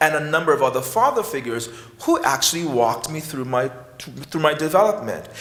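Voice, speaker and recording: A man speaks in a West Indian accent at a moderate pace, with ordinary pitch variation. Noticeable background noise and audible room echo fill the recording. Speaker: psychiatry professor. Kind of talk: conference talk. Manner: halting.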